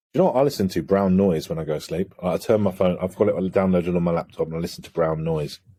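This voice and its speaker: A man with an English accent speaks at a very fast pace with hardly any pauses. His very deep, low voice has a dark, mellow tone and ordinary pitch variation. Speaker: holistic coach. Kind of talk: podcast interview conversation.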